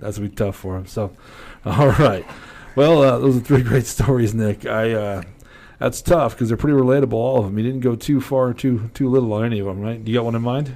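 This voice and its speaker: At a fairly quick pace, a man speaks in a dark, mellow tone with ordinary pitch variation. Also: medium pitch for a man. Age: 40s. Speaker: podcast host. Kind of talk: casual chat; sponsor plug. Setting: studio.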